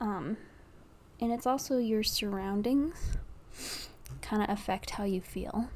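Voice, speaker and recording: Her tone dark and mellow, a woman talks at a fairly slow pace and a fairly high pitch. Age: 20s. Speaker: podcaster. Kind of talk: casual monologue. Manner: rambling, hesitant.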